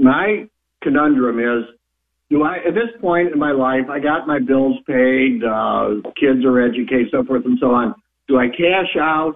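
A man with a normal speaking voice talks at a fairly slow pace, his fairly high pitch showing ordinary variation. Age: 60s. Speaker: caller. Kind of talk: casual phone call. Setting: phone call.

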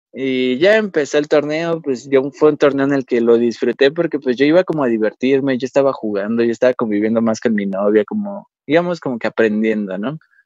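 A man talks in a plain, everyday voice at medium pitch and a fairly quick pace. His intonation is lively, his loudness swings widely, and the sound is dry and close with no echo. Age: 20s. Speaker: paralympic archer. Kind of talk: interview.

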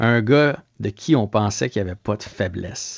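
An unremarkable speaking voice belongs to a man who talks fairly slowly at a fairly low pitch with ordinary pitch variation. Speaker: sports reporter. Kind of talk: casual radio chat.

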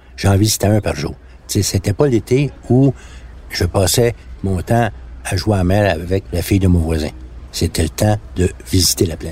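Over noticeable background noise, a man with a very deep, low pitch speaks with lively intonation. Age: 60s. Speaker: songwriter. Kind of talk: personal storytelling. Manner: casual.

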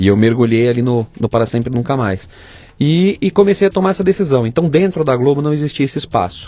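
A man at a very fast pace, with a fairly high pitch and very wide pitch swings. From São Paulo state, Brazil (Ribeirão Pires). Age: 40s. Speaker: television and film director. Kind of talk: interview conversation.

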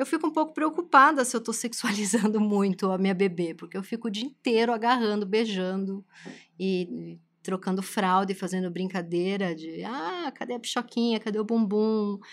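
An ordinary speaking voice from a woman, medium in pitch, at a moderate pace. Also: lively intonation. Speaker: podcast host and writer. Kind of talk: casual chat.

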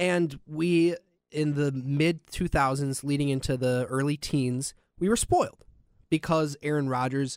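Someone speaks with an American accent in a normal speaking voice. The pitch varies in an ordinary way. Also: man. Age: 20s. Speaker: radio producer co-hosting a sports podcast. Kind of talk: casual sports chat. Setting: studio.

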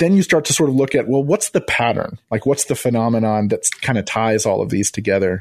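A man talks with a normal speaking voice at medium pitch and a moderate pace, his intonation lively and his loudness very even. The sound is dry and close with no echo. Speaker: podcast producer and former pastor. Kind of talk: radio interview.

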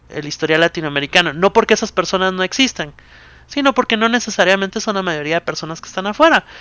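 A man's raised, projected voice rings out at a high pitch in a bright, sharp tone, with lively intonation and a dry, close sound with no echo. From Guatemala. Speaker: board game company public relations. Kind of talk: casual interview.

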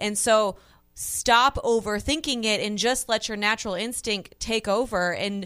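A woman's plain, everyday voice, fairly high in pitch, with fairly even intonation. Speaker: color commentator. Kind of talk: live commentary.

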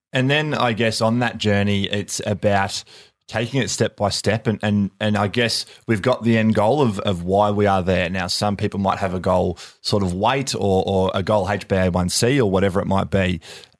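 A man's fairly low voice with an Australian accent, at a moderate pace, with fairly even intonation and very even loudness, in a very clean recording with a silent background. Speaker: podcast host, former football player. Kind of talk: interview. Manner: halting, many fillers.

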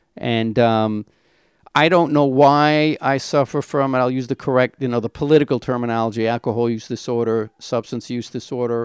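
A man with an American accent has a plain, everyday voice at a medium pitch, with fairly even intonation and a moderate pace. The recording is very clean with a silent background, the sound dry and close with no echo. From Brooklyn, New York. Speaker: person in addiction recovery. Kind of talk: testimony.

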